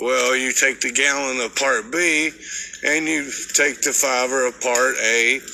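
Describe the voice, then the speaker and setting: The intonation stays fairly even. Light background noise runs underneath. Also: man. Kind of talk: casual vlog chat explaining mixing coatings. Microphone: phone near.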